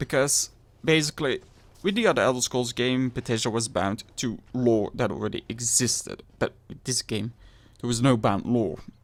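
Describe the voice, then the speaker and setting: A man with a Flemish accent speaks at a moderate pace and medium pitch, using ordinary pitch variation. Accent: Flemish Belgian. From Belgium (Flanders). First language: Dutch. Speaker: gaming youtuber. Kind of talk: game review.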